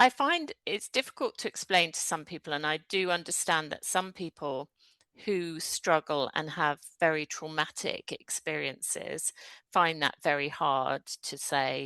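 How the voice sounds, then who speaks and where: A woman speaks with a British accent in a very deep, low pitch, her tone bright and sharp, with ordinary pitch variation. The sound is dry and close with no echo over a quiet background. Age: 60s. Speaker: energy therapist, former solicitor. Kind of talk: interview conversation.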